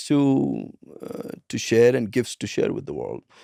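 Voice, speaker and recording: With a Punjabi accent, a man speaks at a moderate pace in a medium pitch and a dark, mellow tone, the recording very clean and silent in the background, dry and close, with no echo. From India, Punjab. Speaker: transformation coach and speaker. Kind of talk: interview.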